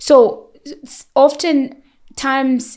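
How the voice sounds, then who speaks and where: A woman speaks loudly. The recording is very clean, with a silent background. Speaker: nurse. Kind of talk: expert interview. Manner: talkative.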